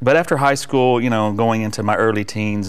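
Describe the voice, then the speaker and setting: This man's voice sits at a fairly low pitch. His pitch varies in an ordinary way. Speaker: guest. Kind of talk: interview answer. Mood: warm, reflective testimony. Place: studio. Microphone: lapel.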